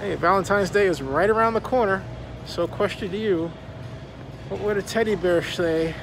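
Over noticeable background noise, the speech has a dry sound with no echo, a moderate pace and ordinary pitch variation. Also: man, high pitch for a man. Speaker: vlogger. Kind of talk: casual vlog chat. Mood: playful, curious. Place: shop. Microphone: phone near.

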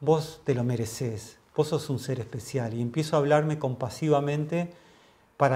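Somewhat breathy male voice at a moderate pace with ordinary pitch variation. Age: 50s. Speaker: mindfulness teacher; interview guest, mindfulness teacher. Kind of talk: interview. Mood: calm, earnest, reflective. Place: home room.

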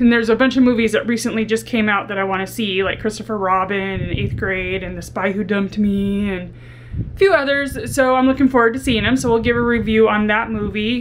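A woman speaks at a fairly quick pace with fairly even intonation over light background noise. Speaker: vlogger. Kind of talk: casual vlog chat. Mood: candid, reflective. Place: home room.

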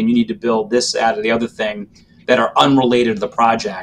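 This is an unremarkable speaking voice with an American accent and fairly even intonation. Light background noise can be heard. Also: man. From Massachusetts, Randolph (Boston area); Massachusetts. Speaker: transit agency executive; panelist. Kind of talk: panel discussion. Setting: video call. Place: office. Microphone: video call.

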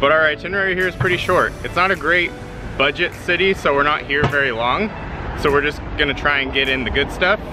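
A man talking at a very fast pace, with clear music in the background and a dry sound with no echo. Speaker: travel vlogger. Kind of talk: casual vlog chat. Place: street. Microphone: phone near.

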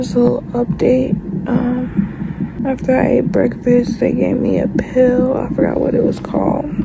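A woman talks at a fairly slow pace over loud background noise. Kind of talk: casual vlog chat. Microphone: phone near.

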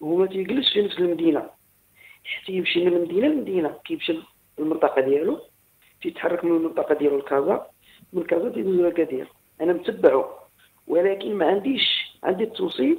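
Speaking at a fairly quick pace, a man uses a high voice with lively intonation. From Morocco, Agadir; Morocco. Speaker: caller. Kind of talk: phone-in story. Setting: phone call. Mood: calm, reflective. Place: home room.

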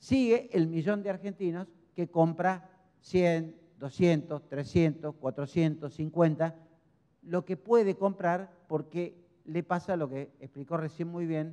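A man with a high pitch speaks at a very slow pace in a dark, mellow tone. The background is quiet. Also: ordinary pitch variation. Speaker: speaker. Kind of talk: lecture. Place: hall. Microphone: handheld.

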